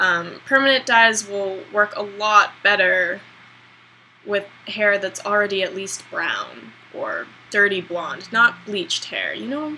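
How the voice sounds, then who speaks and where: A woman's medium-pitched voice at a very slow pace, with ordinary pitch variation, big swings in loudness and noticeable background noise. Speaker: beauty vlogger. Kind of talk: hair tutorial vlog. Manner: casual, hesitant with many ums.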